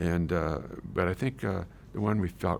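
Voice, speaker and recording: Speaking at a moderate pace, a man with a very deep, low pitch and vocal fry shows ordinary pitch variation. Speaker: retired teacher telling life story. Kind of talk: life story interview. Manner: halting.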